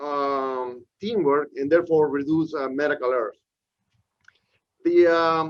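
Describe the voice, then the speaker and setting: Pausing long and often, a man with a Peruvian accent speaks at a fairly slow pace, his pitch fairly high and his intonation fairly even. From Peru, Lima. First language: Spanish. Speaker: professor. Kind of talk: lecture. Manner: frequent fillers and hesitations.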